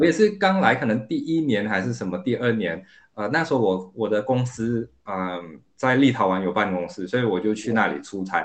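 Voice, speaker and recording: In an ordinary speaking voice, a man talks fairly quickly at a medium pitch with lively intonation. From Singapore. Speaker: product manager. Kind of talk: casual chat.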